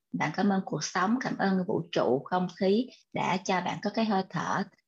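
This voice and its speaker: Her voice somewhat breathy, a woman speaks at a fairly slow pace and a medium pitch. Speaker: co-host MC of online book club. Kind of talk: live online event hosting.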